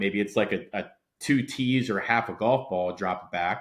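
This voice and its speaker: A man speaks with an American accent. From Delaware, US. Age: young. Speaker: golf coach. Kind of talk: podcast interview. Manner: loud.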